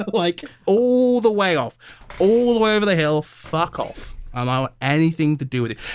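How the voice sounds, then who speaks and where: With a British accent, a man speaks in an animated tone at a moderate pace, his high pitch making very wide swings. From England. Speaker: YouTuber and podcast co-host. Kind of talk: casual chat.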